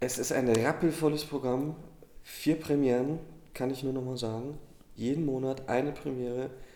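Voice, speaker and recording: A man speaks at a moderate pace in a medium pitch, his dark, mellow tone carried by monotone, flat intonation. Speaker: theatre podcast co-host. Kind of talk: casual chat.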